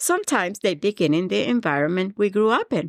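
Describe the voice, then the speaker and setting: With a Colombian accent, a woman makes very wide pitch swings. The recording is very clean with a silent background, and the sound is dry and close with no echo. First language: Spanish. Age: 50s. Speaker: podcast host, mindset coach. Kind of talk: motivational podcast monologue. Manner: warm, earnest.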